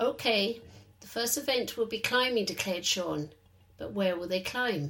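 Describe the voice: Here the text is simply read aloud in a plain way.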